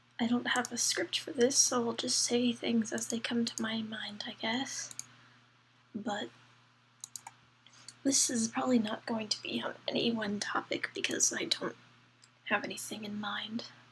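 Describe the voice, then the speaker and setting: Long, frequent pauses at a fairly slow pace, with noticeable background noise. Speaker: vlogger. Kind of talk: unscripted vlog rant. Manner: halting.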